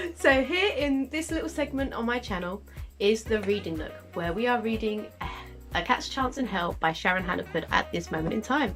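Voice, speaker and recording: Music in the background beneath a woman's moderately paced speech. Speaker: amateur audiobook reader, crafting vlogger. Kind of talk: audiobook reading of a novel chapter.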